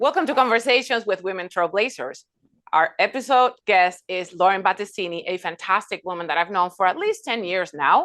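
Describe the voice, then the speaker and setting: In a Spanish accent, a woman talks at a fairly quick pace with lively intonation and a medium pitch. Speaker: podcast host. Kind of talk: interview.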